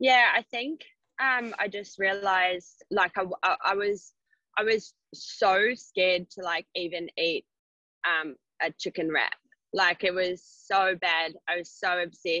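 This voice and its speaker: Her tone bright and sharp, a woman speaks at a fairly slow pace and medium pitch with ordinary pitch variation, in a dry, close sound with no echo. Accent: New Zealand. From New Zealand. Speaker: personal trainer. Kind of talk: casual chat.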